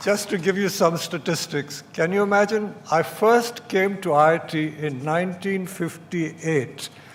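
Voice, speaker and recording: Against noticeable background noise, a man speaks fairly slowly in a high voice with ordinary pitch variation and hardly any pauses. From India. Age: 80s+. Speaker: chief guest and alumnus at a convocation. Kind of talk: convocation speech. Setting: auditorium with audience.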